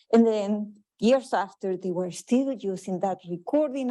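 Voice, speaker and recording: A woman with a strong Chilean accent speaks at a medium pitch in a dark, mellow tone. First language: Spanish. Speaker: public health researcher. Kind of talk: conference presentation.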